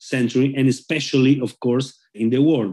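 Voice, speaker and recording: With a Spanish accent, a man speaks at a moderate pace in a dark, mellow tone. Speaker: rabbi. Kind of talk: interview. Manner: halting.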